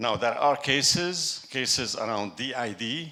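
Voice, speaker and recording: A man with a French accent speaks in a bright, sharp tone at a fairly slow pace. His pitch variation is ordinary, and room echo is audible. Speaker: tech executive, conference speaker. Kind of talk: conference talk. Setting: stage with audience. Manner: halting.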